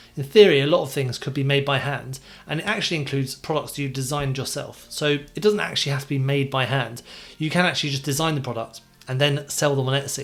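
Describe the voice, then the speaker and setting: Speaking with a British accent, a man with a fairly high pitch talks at a fairly quick pace. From UK. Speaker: e-commerce seller and YouTuber; online seller giving advice. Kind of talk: tutorial. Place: home room. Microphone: studio mic.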